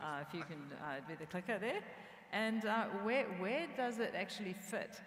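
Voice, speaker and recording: Audible room echo surrounds a woman speaking at a medium pitch and a moderate pace, her voice making very wide pitch swings. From New Zealand. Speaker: tech company CEO. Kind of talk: conference stage interview.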